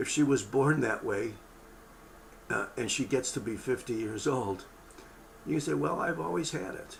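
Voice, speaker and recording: A man with a medium-pitched voice speaks at a moderate pace, with audible echo from the room. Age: 70s. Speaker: medical lecturer. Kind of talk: lecture. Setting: webinar broadcast. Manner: casual, conversational.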